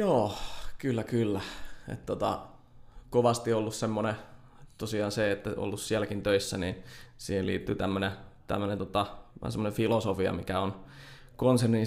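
A man's fairly low voice with vocal fry. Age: 20s. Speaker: software developer. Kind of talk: interview. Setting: studio.

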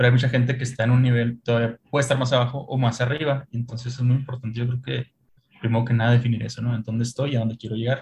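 A man at a medium pitch with a Mexican accent, somewhat breathy, very fast, with monotone, flat intonation. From Mexico. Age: 30s. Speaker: e-commerce manager. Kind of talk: casual chat.

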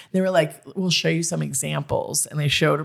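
The recording is very clean, with a silent background. A woman speaks in an animated tone, her very deep, low pitch carrying vocal fry. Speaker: comedian and podcast host. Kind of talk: casual chat.

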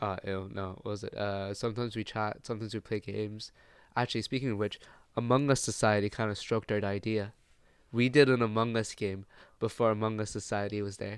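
A man with an Irish accent, fairly low in pitch, very fast and monotone, flat in intonation, in a very clean recording with a silent background. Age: 20s. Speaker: design student podcast co-host. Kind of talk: casual chat.

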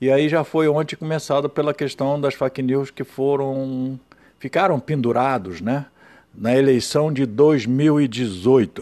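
Speaking at a very slow pace, a man with a fairly high voice has a dark, mellow tone and ordinary pitch variation. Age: 70s. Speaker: writer and activist podcaster. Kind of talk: solo monologue commentary.

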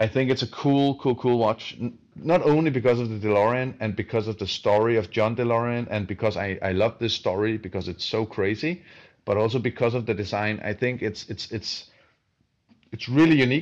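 Over a quiet background, a man with a Danish accent speaks at a medium pitch. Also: ordinary pitch variation, fairly quick pace. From southern Denmark. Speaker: watch company co-founder. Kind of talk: casual interview. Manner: halting, many fillers.

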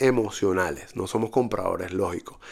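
Lively intonation marks a man speaking at a moderate pace in a very clean recording with a silent background. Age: 40s. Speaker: podcast host, digital marketing entrepreneur. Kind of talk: solo monologue. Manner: hesitant, frequent fillers.

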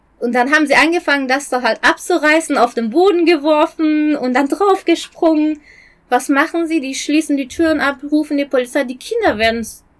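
This woman has a high-pitched voice. She speaks with a Persian accent. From Iran. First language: Persian (speaking German). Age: 40s. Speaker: human rights activist. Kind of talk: interview. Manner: halting.

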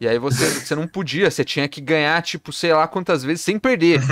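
A man's high-pitched voice at a fairly quick pace, dry and close with no echo, in a very clean recording against a silent background. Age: 20s. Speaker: podcast host. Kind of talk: casual chat.

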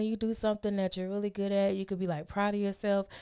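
This woman's voice sits at a medium pitch. Her tone is dark and mellow. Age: 30s. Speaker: podcast co-host. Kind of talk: casual banter, profane. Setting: studio.

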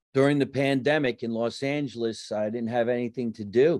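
The man's intonation stays fairly even, and the background is quiet. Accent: New Jersey. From New Jersey. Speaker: comedian and actor. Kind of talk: casual interview chat. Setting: home basement.

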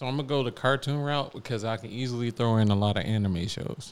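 This man has a slight Southern US accent and a medium-pitched voice. He talks very fast on a very clean recording with a silent background. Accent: slight Southern twang. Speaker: podcast host. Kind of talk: casual chat. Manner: laid-back, joking.

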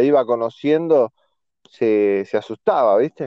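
Here a man with a Rioplatense accent speaks with ordinary pitch variation. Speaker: podcast co-host. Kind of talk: casual chat.

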